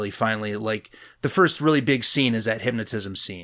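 A man with an ordinary speaking voice, a moderate pace and ordinary pitch variation. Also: very clean recording, silent background. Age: 30s. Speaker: horror podcast co-host. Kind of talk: casual chat.

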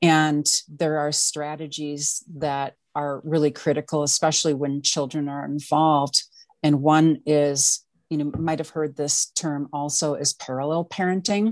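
Someone with an American accent speaks at a fairly slow pace, with fairly even intonation. The background is quiet. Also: woman, very deep, low pitch for a woman. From Wisconsin. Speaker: domestic violence coach. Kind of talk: interview testimony.

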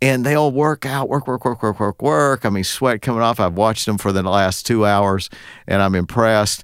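In a plain, everyday voice, a man talks at a moderate pace and medium pitch with ordinary pitch variation and very even loudness, on a very clean recording with a silent background. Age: 60s. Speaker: podcast host, attorney. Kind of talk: casual interview chat.

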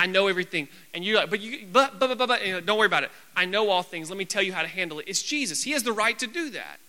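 A man speaks in a raised, projected voice with a bright, sharp tone. His pitch variation is ordinary. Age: 20s. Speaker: youth pastor. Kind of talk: sermon. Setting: church. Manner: loud.

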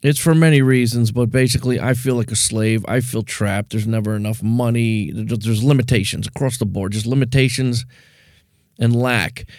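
In a very clean recording with a silent background, a man with a plain, everyday voice talks at a fairly quick pace, his medium pitch and fairly even intonation holding level. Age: 50s. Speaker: podcast host. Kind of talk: solo monologue.

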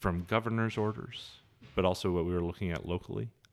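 A man with an Inland Northwest US accent speaks with a very deep, low pitch and ordinary pitch variation. The sound is dry and close with no echo, on a very clean recording with a silent background. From Montana, Helena. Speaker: city councilman. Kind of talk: interview. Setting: in person. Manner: hesitant, many fillers.

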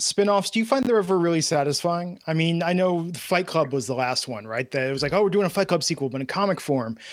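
A man with an American accent talks at a high pitch and a very fast pace, with hardly any pauses. His pitch swings very widely over noticeable background noise. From US Midwest and California. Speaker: podcast advertising executive and author. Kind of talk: casual chat.

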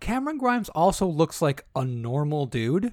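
Lively intonation marks a man's plain, everyday voice, which is fairly high in pitch and has a dry, close sound with no echo. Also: very clean recording, silent background. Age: 30s. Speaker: wrestling podcast co-host. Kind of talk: casual chat.

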